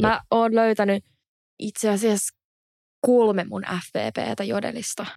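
A woman speaks very slowly at medium pitch, her intonation monotone and flat, with long, frequent pauses. The recording is very clean with a silent background and a dry, close sound with no echo. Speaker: podcast host. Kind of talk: casual chat.

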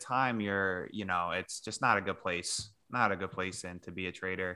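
A man with a New York accent and a bright, sharp tone talks at a moderate pace in a very clean recording with a silent background. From New York area. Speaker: podcast co-host. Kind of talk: casual podcast chat.

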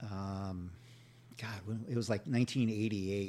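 A man with an American accent, a dark, mellow tone and a moderate pace. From California, Santa Barbara. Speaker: podcast host and bus driver. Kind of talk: casual interview chat. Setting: radio studio. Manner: stutters; halting, repetitive.

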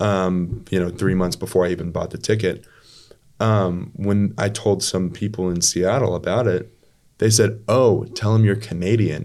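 With a plain, everyday voice, a man talks at a moderate pace, his pitch fairly low and his intonation fairly even. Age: 20s. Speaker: business partner, former oil field worker. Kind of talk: casual chat.

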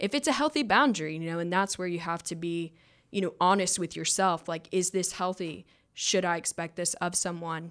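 A woman with a Southern US accent talks at a fairly quick pace in a fairly low voice with ordinary pitch variation, on a very clean recording with a silent background. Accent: Southern US (Georgia). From North Georgia, US South. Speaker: person in addiction recovery. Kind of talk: casual chat. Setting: studio.

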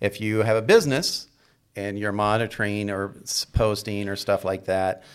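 A man's normal speaking voice at a fairly low pitch, at a fairly slow pace, on a very clean recording with a silent background. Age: 50s. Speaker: fitness trainer and podcast co-host. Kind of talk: casual chat.

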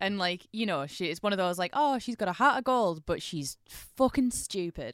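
Speaking at a moderate pace with hardly any pauses, a woman makes very wide pitch swings in a very clean recording with a silent background. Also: medium pitch for a woman, dry, close sound with no echo. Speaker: podcast co-host. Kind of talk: casual chat.

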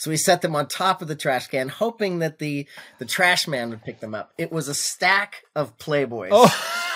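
Recorded very cleanly against a silent background, a man speaks fairly slowly in an unremarkable speaking voice with lively intonation. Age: 50s. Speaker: firearms business owner. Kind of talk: casual chat.

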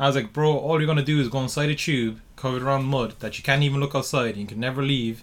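This man talks very fast with an Irish accent, leaving hardly any pauses. His pitch is fairly high and his intonation fairly even. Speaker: podcast host. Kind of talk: casual chat. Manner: casual, swearing.

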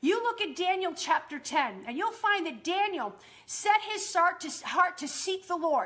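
Raised and projected, a woman's extremely high voice has a bright, sharp tone and lively intonation at a fairly slow pace. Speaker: podcast host and prayer teacher. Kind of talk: charismatic Bible teaching and fervent exhortation to believe. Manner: emphatic, insistent repetition building preacher-like momentum; animated, enthusiastic.

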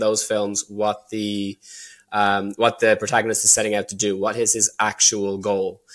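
Over a very clean recording with a silent background, a man speaks at a fairly quick pace. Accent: Dublin. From Ireland, Dublin. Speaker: filmmaker. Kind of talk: casual chat. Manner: halting.

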